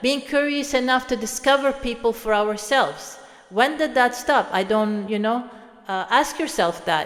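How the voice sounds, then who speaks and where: A woman with a Swedish accent speaks at a moderate pace in a high pitch with ordinary pitch variation. Noticeable background noise runs under her voice. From Sweden. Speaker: motivational speaker. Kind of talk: reflective monologue. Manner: halting.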